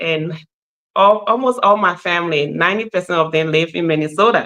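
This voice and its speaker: A woman's fairly low-pitched voice with a bright, sharp tone, at a moderate pace. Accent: Liberian. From Liberia, Nimba County. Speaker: nurse practitioner. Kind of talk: podcast interview.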